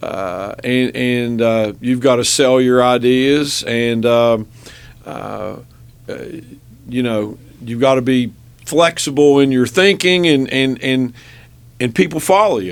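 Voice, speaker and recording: A man at a medium pitch with a West Virginia accent, very slow, with long, frequent pauses and ordinary pitch variation. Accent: Logan, West Virginia accent, kept. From southern West Virginia (Logan County). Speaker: business owner and state legislator. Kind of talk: radio interview. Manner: halting, many fillers and repeated words.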